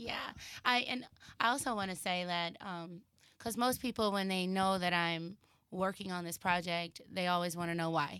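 In a Texan accent, a woman speaks at a moderate pace in a bright, sharp tone with ordinary pitch variation, recorded very cleanly with a silent background. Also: medium pitch for a woman. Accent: Texas, Southern. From Texas, Dallas. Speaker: actress and filmmaker. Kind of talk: casual chat. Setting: studio.

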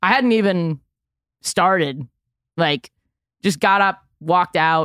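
A woman in a New York accent with a fairly low pitch and ordinary pitch variation. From New York City, Manhattan. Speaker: comedian. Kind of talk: casual chat.

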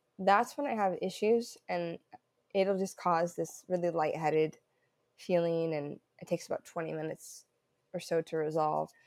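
In a very clean recording with a silent background, a woman with an American accent has a plain, everyday voice, fairly low in pitch with ordinary pitch variation, at a moderate pace. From southern Oregon, US Pacific Northwest. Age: 20s. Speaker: runner. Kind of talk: interview.

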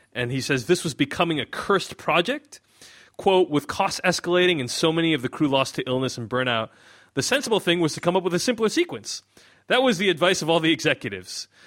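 This man's voice sits high in pitch and carries lively intonation. He talks at a very fast pace. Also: dry, close sound with no echo. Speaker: podcast host and film critic. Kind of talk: casual film review conversation. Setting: remote podcast recording with microphones. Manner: conversational, frequent filler words.

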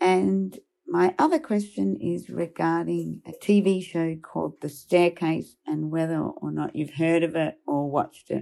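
Recorded very cleanly with a silent background, a woman with an Australian accent talks at a fairly slow pace. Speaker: listener sending a question. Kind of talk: recorded voice message.

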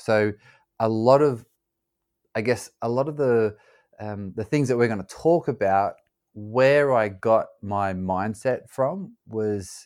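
Recorded very cleanly against a silent background, a man with an Australian accent speaks at a fairly slow pace with ordinary pitch variation. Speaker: former pro soccer player and ultra-endurance athlete. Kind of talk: interview conversation.

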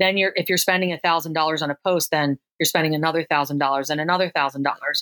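A woman's fairly low voice with an American accent, very fast, with ordinary pitch variation. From Philadelphia area, US. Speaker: affiliate marketing consultant. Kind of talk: interview. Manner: frequent repetitions and fillers.

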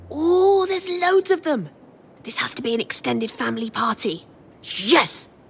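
A woman puts on a character voice, high in pitch with big pitch swings. It has vocal fry and a husky, rough edge, and she speaks at a fairly slow pace.

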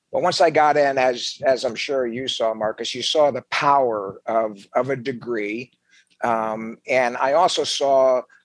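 A man talks at a fairly slow pace in a medium pitch with ordinary pitch variation. The recording is very clean, with a silent background. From New Jersey. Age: 60s. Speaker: Marine veteran. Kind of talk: casual interview. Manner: animated.

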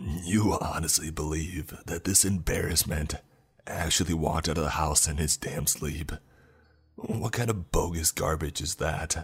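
In a put-on character voice, a man speaks at a fairly slow pace with an extremely low pitch, a husky, rough edge, and ordinary pitch variation.

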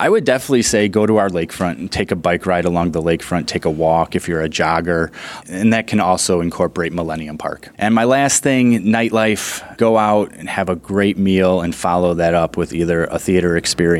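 An American-accented man talks at a fairly quick pace, his very deep, low pitch showing ordinary variation. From Chicago, US Midwest. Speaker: city tourism director. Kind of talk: casual interview. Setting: studio.

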